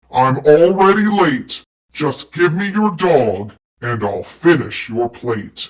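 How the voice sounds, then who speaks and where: A put-on, growling character voice from a man, fairly high in pitch, at a fairly slow pace. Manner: growling, demanding.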